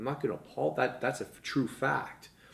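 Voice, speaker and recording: The speaker talks at a very fast pace with vocal fry. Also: man. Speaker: fitness entrepreneur. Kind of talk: casual chat.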